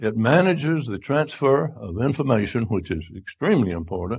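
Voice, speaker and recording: A man speaks at a medium pitch and a moderate pace. His voice is somewhat breathy, with very wide pitch swings. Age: 90s. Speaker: retreat speaker. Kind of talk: lecture. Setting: church retreat audience. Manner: halting.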